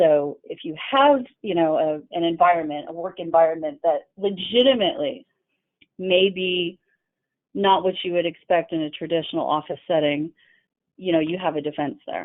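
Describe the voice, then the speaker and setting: A woman's fairly low voice at a moderate pace, an ordinary speaking voice with lively intonation. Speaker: employment lawyer. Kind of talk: webinar presentation. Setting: online webinar.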